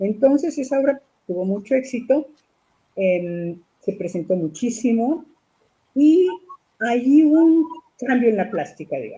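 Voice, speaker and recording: At a fairly slow pace, a woman speaks in a high pitch with very wide pitch swings and long, frequent pauses. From Mexico City. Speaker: puppeteer and theatre director. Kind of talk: interview answer.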